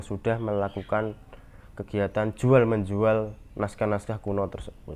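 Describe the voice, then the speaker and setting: A man talks in a monotone, flat intonation with a Javanese accent. His pitch is fairly low. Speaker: university student presenter. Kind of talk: class presentation. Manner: hesitant, with fillers.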